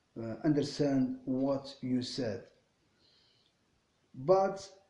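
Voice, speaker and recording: Speaking very slowly, a man with a non-native accent has a dark, mellow tone and ordinary pitch variation. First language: not English. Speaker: English learner vlogger. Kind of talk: casual monologue. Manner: halting, many fillers and repetitions.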